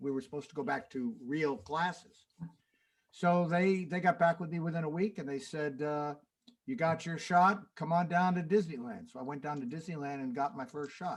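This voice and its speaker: A man talks at a moderate pace with a fairly high pitch. His pitch varies in an ordinary way. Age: 60s. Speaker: jazz pianist and music teacher. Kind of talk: casual chat between songs on a livestream. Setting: home studio livestream. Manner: halting, many fillers.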